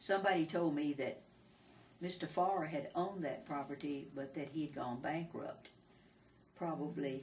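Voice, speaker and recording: With a Texan accent, a woman talks at a moderate pace in a very deep, low pitch, her intonation fairly even and broken by long, frequent pauses. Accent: Texan Southern US. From Texas, Falls County. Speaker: oral history interviewee. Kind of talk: oral history interview. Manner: halting, hesitant with repetitions.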